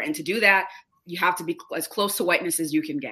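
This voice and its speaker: Speaking very fast with an American accent, a woman has a bright, sharp tone. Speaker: diversity trainer and speaker. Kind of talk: interview conversation.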